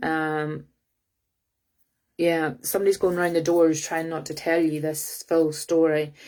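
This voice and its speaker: A woman with a Scottish accent speaks fairly slowly in a very deep, low voice with monotone, flat intonation, on a very clean recording with a silent background. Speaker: psychic reader. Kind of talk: live psychic reading. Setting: livestream. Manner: halting with many fillers.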